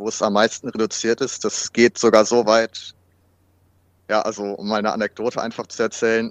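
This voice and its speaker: Against a quiet background, a man speaks at a moderate pace and medium pitch, with big swings in loudness and a dry, close sound with no echo. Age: 30s. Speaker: fitness trainer and student with washing compulsion. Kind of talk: interview about personal experience. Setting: remote recording.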